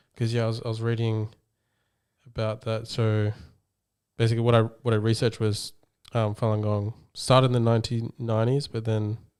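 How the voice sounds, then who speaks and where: Medium-pitched man with an Australian accent, flat and monotone, at a fairly quick pace with long, frequent pauses, in a very clean recording with a silent background. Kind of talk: podcast host, casual talk.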